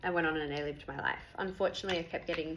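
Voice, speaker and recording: A woman speaks with an Australian accent in a fairly low pitch and fairly even intonation. Noticeable background noise runs beneath her. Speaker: patient sharing health experience. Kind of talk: personal testimony. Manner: fast.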